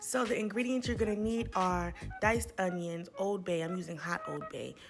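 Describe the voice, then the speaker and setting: A woman at a moderate pace, fairly even intonation, audible room echo and music in the background. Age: 20s. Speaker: cooking vlogger. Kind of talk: tutorial.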